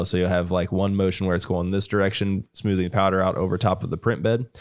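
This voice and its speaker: A man with a Midwestern American accent speaks fairly quickly in a very deep, low voice on a very clean recording with a silent background. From Ohio. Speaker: podcast host, 3D printing technician. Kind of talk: technical explanation; casual chat. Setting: studio/office livestream.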